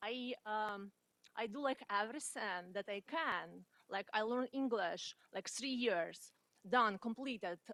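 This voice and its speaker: A woman's fairly high voice at a fairly slow pace, with ordinary pitch variation and a dry, close sound with no echo. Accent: non-native. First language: not English. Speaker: community college student. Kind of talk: audience question at career panel. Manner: halting, many fillers.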